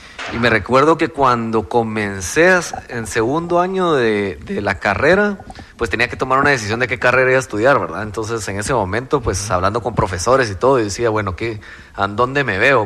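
Speech comes at a fairly quick pace with lively intonation. Noticeable background noise is present. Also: man. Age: 30s. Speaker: crypto entrepreneur. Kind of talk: interview.

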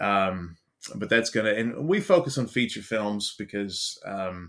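Lively in intonation, a man with an American accent is heard in a very clean recording with a silent background. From Baltimore, US. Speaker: actor and filmmaker. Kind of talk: casual interview chat.

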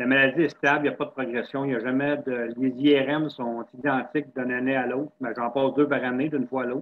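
A man at a medium pitch speaks in a monotone, flat intonation with hardly any pauses. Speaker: person living with multiple sclerosis, wheelchair user. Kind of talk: casual interview chat. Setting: video call.

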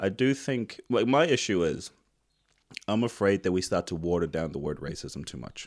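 In a very clean recording with a silent background, a man with a New Zealand accent speaks at a moderate pace in a very deep, low pitch with very wide pitch swings. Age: 30s. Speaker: podcast host. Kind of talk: casual interview chat.

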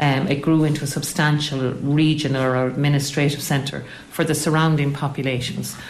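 A woman with an Irish Midlands accent speaks at a very deep, low pitch and a fairly quick pace, with hardly any pauses. Her intonation is monotone and flat, her loudness very even, over noticeable background noise. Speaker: local historian and tour guide. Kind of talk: interview.

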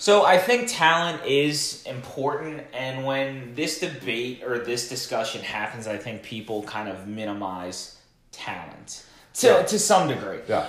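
Male voice with lively intonation and big swings in loudness, against noticeable background noise. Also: medium pitch for a man, fairly slow pace. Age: 20s. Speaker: social media marketing podcast co-host. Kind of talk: casual chat.

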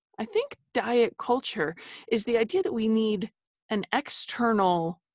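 A woman with an American accent speaks with a fairly high pitch and lively intonation. The sound is dry and close with no echo, over a quiet background. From New Jersey, US. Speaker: dietitian and author. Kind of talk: casual interview conversation. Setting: video call, recording from closet.

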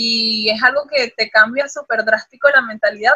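Her pitch is high for a woman, and her intonation stays fairly even. She speaks at a moderate pace. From Venezuela. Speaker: model and athlete. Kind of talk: casual chat. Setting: video call.

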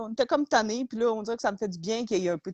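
In a Quebec accent, a woman talks at a very fast pace in a fairly high voice with lively intonation. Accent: Québécois French. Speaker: podcast co-host. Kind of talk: casual chat.

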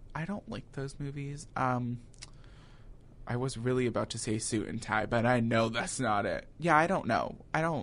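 Here is a man with an ordinary speaking voice at a medium pitch. He talks at a moderate pace with ordinary pitch variation. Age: 20s. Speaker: college student. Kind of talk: casual chat.

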